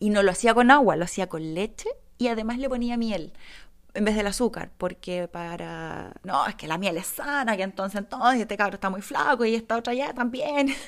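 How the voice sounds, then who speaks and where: This woman has a fairly high voice and a Chilean accent, speaking in an animated tone on a very clean recording with a silent background. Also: ordinary pitch variation, moderate pace. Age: 30s. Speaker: podcaster. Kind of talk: casual monologue. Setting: home.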